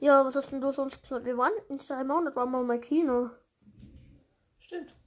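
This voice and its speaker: A woman with a high voice keeps to a moderate tempo. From Austria. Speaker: podcast host. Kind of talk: casual chat.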